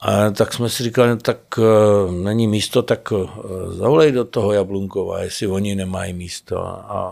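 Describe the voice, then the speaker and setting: Heard in a very clean recording with a silent background, a man has an ordinary speaking voice at a fairly low pitch. He talks at a moderate pace with fairly even intonation. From Prague. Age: 50s. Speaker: actor. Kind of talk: casual chat. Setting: studio.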